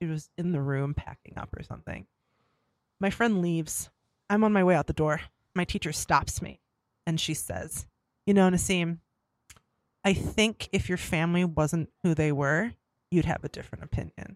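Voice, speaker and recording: On a very clean recording with a silent background and a dry, close sound with no echo, a woman with an American accent and a fairly low pitch speaks at a moderate pace with ordinary pitch variation and long, frequent pauses. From US Midwest, Bay City, Michigan. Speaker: nurse. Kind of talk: casual chat.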